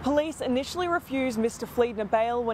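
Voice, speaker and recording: Fairly quick speech from a woman, high in pitch, with ordinary pitch variation. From Australia. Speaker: TV news reporter. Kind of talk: TV news report.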